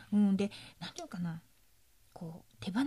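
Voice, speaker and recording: At a moderate pace, a woman with a medium pitch speaks in a somewhat breathy voice. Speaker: spiritual therapist, podcast co-host. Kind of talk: casual talk with explanation of a topic.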